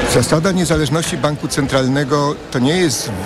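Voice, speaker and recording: With ordinary pitch variation, a man speaks at a moderate pace against noticeable background noise. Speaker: economics professor. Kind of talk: radio interview. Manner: halting.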